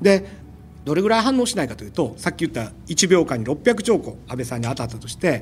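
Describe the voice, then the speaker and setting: A man's fairly high voice with vocal fry and very wide pitch swings, at a very fast pace. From Osaka, Japan. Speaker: particle physicist. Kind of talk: casual interview.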